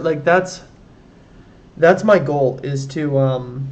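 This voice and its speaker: Fairly high-pitched, somewhat breathy male voice with audible room echo. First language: German. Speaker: programming livestreamer. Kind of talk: live coding stream with chat. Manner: casual, hesitant with many fillers.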